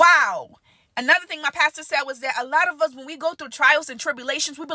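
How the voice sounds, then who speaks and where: In a dry, close sound with no echo, a woman speaks in a raised, projected voice, high-pitched and animated, with ordinary pitch variation. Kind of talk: casual sermon-style monologue. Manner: loud.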